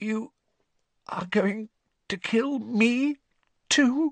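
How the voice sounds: In a dry, close recording with no echo, a man uses a put-on character voice at an extremely high pitch.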